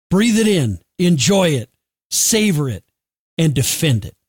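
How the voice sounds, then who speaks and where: With an American accent, a man talks at a fairly slow pace in a fairly high pitch, his voice making very wide pitch swings in a dry, close sound with no echo. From United States. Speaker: podcast host. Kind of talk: scripted narration; interview.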